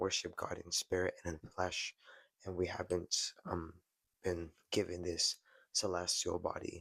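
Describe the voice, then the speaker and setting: A man speaks at a moderate pace with a very deep, low pitch and a bright, sharp tone. The sound is dry and close with no echo. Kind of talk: casual monologue to camera. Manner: halting, some stumbles.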